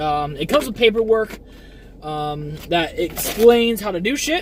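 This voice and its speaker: A man's voice with lively intonation at a moderate pace, over noticeable background noise. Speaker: streamer. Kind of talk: casual unboxing chat. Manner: hesitant, many fillers.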